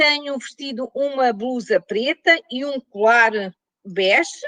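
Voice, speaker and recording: In a European Portuguese accent, a woman uses a raised, projected voice that is high-pitched, bright and sharp, with ordinary pitch variation, a very slow pace and a dry, close sound with no echo. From Portugal. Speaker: professor. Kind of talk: lecture.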